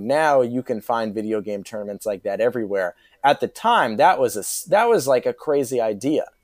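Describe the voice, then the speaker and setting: A man talks in an ordinary speaking voice at medium pitch and a moderate pace with ordinary pitch variation, the recording very clean, dry and close with a silent background and no echo. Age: 20s. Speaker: podcast guest, TV fan. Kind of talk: casual chat.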